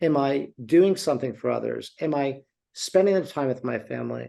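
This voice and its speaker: A man with a plain, everyday voice speaks at a moderate pace, his fairly high pitch showing ordinary variation. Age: 60s. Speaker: beverage company CEO. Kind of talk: interview.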